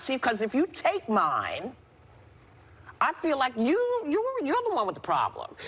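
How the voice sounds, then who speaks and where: Very wide pitch swings at a fairly slow pace, over noticeable background noise. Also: woman. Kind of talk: passionate on-air rant. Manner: indignant, forceful, repetitive.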